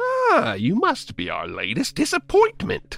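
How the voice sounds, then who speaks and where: Faint music plays in the background as a man puts on a character voice. He speaks at a fairly slow pace. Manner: silly, sarcastic.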